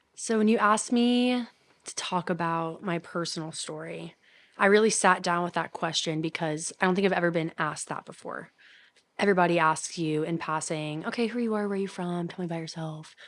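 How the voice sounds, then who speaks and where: With an American accent, a woman speaks fairly quickly at a fairly low pitch against a quiet background. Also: ordinary pitch variation. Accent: Southern US, noticed in New York. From Kentucky, Louisville. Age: 20s. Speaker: college student. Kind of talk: casual chat.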